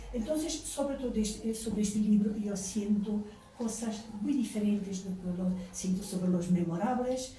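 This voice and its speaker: The speaker talks at a moderate pace with ordinary pitch variation. Room echo is audible, and there is noticeable background noise. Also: woman. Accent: Portuguese. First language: Portuguese (speaking Spanish). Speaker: novelist. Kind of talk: book presentation talk. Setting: bookstore event with audience. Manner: halting.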